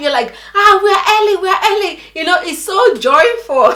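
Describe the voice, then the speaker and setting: A woman's raised, projected voice, animated and lively in intonation, at a moderate pace over noticeable background noise. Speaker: vlogger. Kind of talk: casual storytelling chat.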